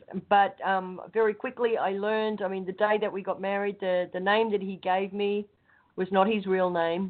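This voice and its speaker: A speaker with an Australian accent talks at a moderate pace. The intonation is flat and monotone. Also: woman, medium pitch for a woman. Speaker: show panelist. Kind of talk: casual chat.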